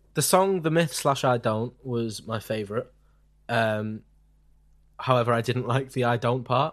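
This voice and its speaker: With a British accent, this man talks at a fairly slow pace and a medium pitch, using ordinary pitch variation and long, frequent pauses. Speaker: podcast host. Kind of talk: casual chat.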